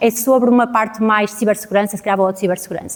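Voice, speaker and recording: A woman speaks with a European Portuguese accent. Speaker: data scientist, conference speaker. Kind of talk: conference talk. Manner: fast.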